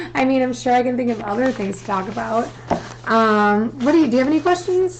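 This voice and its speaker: A woman's fairly high voice at a very fast pace, with noticeable background noise. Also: lively intonation. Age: 20s. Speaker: guest sharing personal story; guest. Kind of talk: casual chat. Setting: live stream. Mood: candid, personal, light laughter. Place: home room. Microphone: studio mic.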